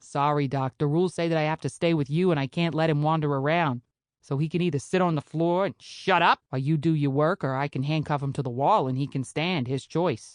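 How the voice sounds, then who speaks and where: A gruff, put-on character voice moving at a fairly quick pace with hardly any pauses. The intonation stays fairly even, and the sound is dry and close with no echo. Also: woman, very deep, low pitch for a woman. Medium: read story. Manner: gruff, menacing.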